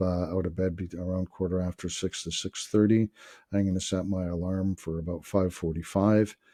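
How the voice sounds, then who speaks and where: Man with a very deep, low pitch, a dark, mellow tone, monotone and flat intonation and a moderate pace. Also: quiet background. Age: 60s. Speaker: wellness vlogger. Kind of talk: casual monologue vlog. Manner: halting, many filler words.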